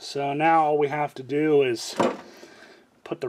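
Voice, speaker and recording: There is light background noise. Over it, a man's voice is heard. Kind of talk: tutorial. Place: garage. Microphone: phone near.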